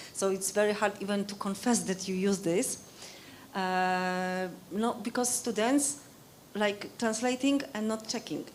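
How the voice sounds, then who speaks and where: Speaking in a Polish accent at a fairly slow pace, a woman uses ordinary pitch variation amid audible room echo. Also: medium pitch for a woman. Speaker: Wikipedia educator. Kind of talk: conference discussion. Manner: halting.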